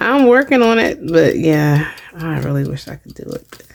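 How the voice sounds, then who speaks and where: Quietly and fairly slowly, a woman with a very deep, low voice speaks over noticeable background noise. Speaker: craft video creator. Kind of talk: craft tutorial narration. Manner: casual, hesitant with fillers; quiet while crafting.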